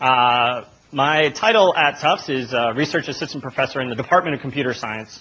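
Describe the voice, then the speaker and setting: A man speaks loudly at a fairly quick pace. His pitch sits in the medium range and varies in an ordinary way. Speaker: professor. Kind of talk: conference talk. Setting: stage with audience. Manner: fast.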